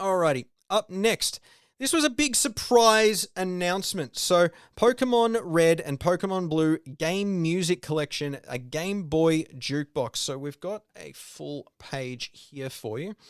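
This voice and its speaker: Very clean with a silent background and a dry, close sound with no echo, the recording captures a man with an Australian accent and a high voice speaking at a fairly slow pace. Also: lively intonation. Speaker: video game podcaster. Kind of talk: solo podcast commentary. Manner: casual, with many fillers.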